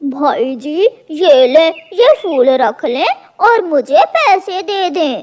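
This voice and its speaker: A cartoonish character voice, high-pitched and fairly slow. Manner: rough, blunt.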